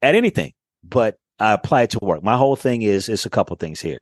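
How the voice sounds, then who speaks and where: Someone talks at a fairly quick pace with an American accent, lively intonation and an animated tone. The sound is dry and close with no echo, over a quiet background. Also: man. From Daytona Beach, Florida, US South. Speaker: voice actor and media host. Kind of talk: casual chat.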